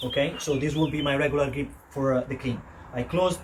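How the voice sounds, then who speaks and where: A man with an Italian accent at a fairly high pitch, with noticeable background noise. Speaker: fitness coach. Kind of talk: tutorial. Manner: halting, many fillers. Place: garden.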